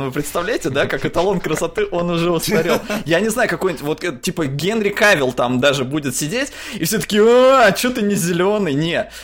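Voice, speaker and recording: Over noticeable background noise, a man with a high pitch speaks at a moderate pace using lively intonation. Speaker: podcast co-host. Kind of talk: casual chat.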